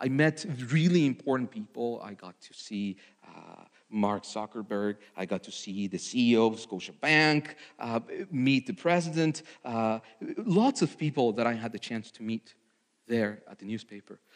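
This man speaks with a Spanish accent at a medium pitch and a moderate pace. His intonation is lively, and his loudness swings widely. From Mexico. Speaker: ministry candidate preacher. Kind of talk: testimony; sermon. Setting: church. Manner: halting.

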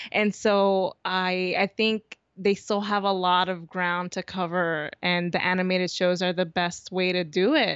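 A woman's medium-pitched, monotone, flat voice at a fairly slow pace with hardly any pauses. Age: 30s. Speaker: podcast host and fan blogger. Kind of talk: casual interview chat.

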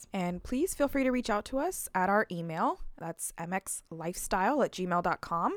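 A woman with an unremarkable speaking voice and an American accent talks at a fairly slow pace, with lively intonation, medium pitch and hardly any pauses. The recording is very clean, with a silent background. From US West Coast. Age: 20s. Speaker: podcast co-host. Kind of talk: casual chat.

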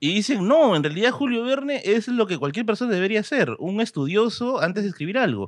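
With a Peruvian accent, a man talks at a fairly quick pace with hardly any pauses, his high pitch and lively intonation set against a quiet background. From Peru, Tacna. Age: 30s. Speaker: history content creator. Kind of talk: casual chat.

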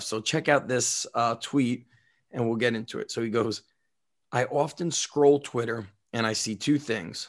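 A man with a normal speaking voice and an American accent talks at a moderate pace. His intonation is fairly even, and the background is quiet. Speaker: strength coach, podcast host. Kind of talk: casual chat. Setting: remote recording.

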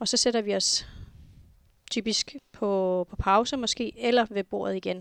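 Against a quiet background, a woman with a medium pitch speaks at a fairly slow pace with fairly even intonation. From Greenland, Nuuk. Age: 40s. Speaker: flight information officer. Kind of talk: interview.

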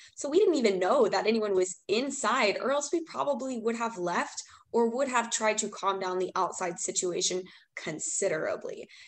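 With a normal speaking voice, a woman with an American accent talks at a moderate pace with lively intonation. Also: fairly high pitch for a woman. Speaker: student, rally attendee. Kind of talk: interview.

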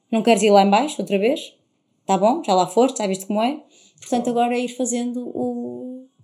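Her pitch is fairly high, and this woman's intonation is lively. She speaks at a fairly quick pace. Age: 30s. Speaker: TV reporter and presenter. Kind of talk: casual interview chat. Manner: energetic, animated.

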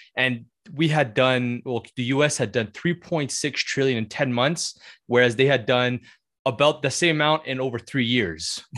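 Against a quiet background, a man uses an unremarkable speaking voice at medium pitch, moderate pace and ordinary pitch variation. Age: 20s. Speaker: podcast co-host. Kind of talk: casual interview.

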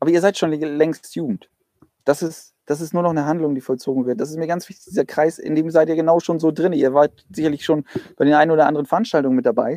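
Speaking at a very fast pace, a man with a fairly high pitch and a dark, mellow tone keeps a fairly even intonation in a dry, close sound with no echo. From Flensburg area, northern Germany. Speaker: church youth leader. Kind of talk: casual chat. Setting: outdoors, in a garden.

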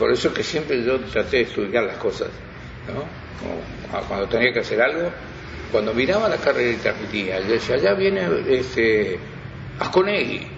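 With very wide pitch swings, a man talks at a medium pitch and a moderate pace. Noticeable background noise is present. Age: 80s+. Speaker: veteran radio broadcaster. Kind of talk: interview reminiscence.

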